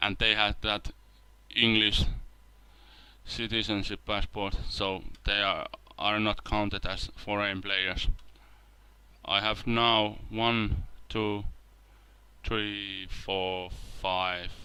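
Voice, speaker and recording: Very slowly and with long, frequent pauses, a man speaks in a fairly low, bright and sharp voice with a monotone, flat intonation. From Finland. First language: Finnish. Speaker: video game let's play creator. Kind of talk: gameplay commentary. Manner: halting, with repetitions and fillers.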